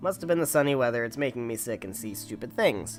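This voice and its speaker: Putting on a raspy character voice, a man talks very fast at a medium pitch with lively intonation and big swings in loudness while clear music plays in the background. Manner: flustered, tentative.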